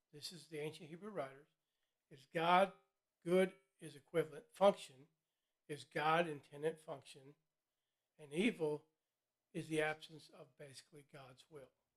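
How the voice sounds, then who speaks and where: Long, frequent pauses break up this man's moderate pace. His pitch is fairly high and his intonation fairly even. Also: big swings in loudness. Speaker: vlogger discussing philosophy and psychology. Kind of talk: solo educational vlog lecture. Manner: hesitant with fillers and repetitions.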